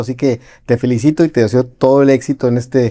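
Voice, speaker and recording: A man's dark, mellow tone sits at a medium pitch. The sound is dry and close with no echo. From Mexico (Tijuana, moved around). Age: 40s. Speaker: entrepreneur, podcast guest. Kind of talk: interview. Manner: halting, frequent repetitions.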